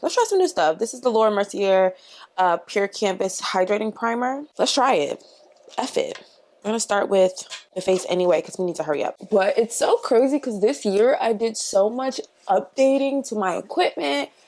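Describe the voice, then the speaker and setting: A woman talks at a moderate pace in an ordinary speaking voice. Her pitch is fairly high, with lively intonation. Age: 20s. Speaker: beauty YouTuber. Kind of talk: casual chat while doing makeup. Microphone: new mic.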